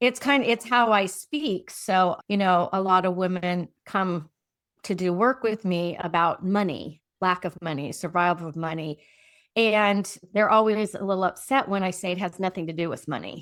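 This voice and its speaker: A woman with a plain, everyday voice speaks at a moderate pace and a medium pitch with ordinary variation. The recording is very clean, the background silent. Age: 60s. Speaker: transformational coach. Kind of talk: casual chat.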